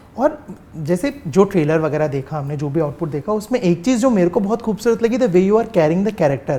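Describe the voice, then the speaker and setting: High-pitched male voice with very wide pitch swings over noticeable background noise. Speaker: interview host. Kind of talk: interview question.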